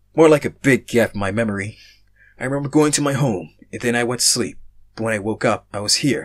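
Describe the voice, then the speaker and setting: Putting on a character voice, a man rattles along at a very fast pace at medium pitch with ordinary pitch variation. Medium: read story.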